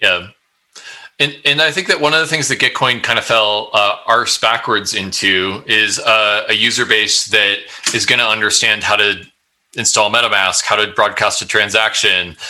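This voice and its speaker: Moderate in pace, this is an unremarkable speaking voice with very even loudness and ordinary pitch variation. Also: man, fairly low pitch for a man. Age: 30s. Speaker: tech startup founder. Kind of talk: casual interview.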